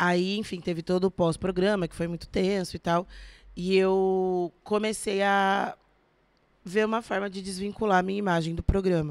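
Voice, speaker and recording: The delivery is monotone and flat at a moderate pace, with big swings in loudness. The recording is very clean, with a silent background. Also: woman, medium pitch for a woman. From São Paulo state (São José dos Campos, São Paulo city), born in Minas Gerais. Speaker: actress and beauty influencer. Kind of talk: casual chat.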